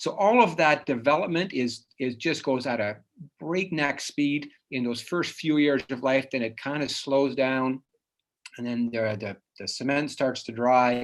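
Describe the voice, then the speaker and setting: Spoken at a fairly slow pace with ordinary pitch variation, the voice carries a slight Dutch accent. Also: man, medium pitch for a man. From Netherlands (Dutch-speaking), moved to Canada at nine. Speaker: psychologist. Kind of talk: lecture. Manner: casual, with many fillers and restarts.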